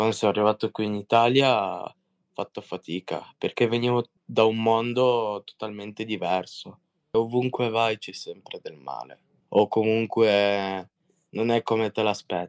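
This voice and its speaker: An unremarkable speaking voice from a man of medium pitch, talking at a fairly slow pace. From Russia, raised in Italy from age 8. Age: 20s. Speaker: young offender in rehabilitation community. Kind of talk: testimony.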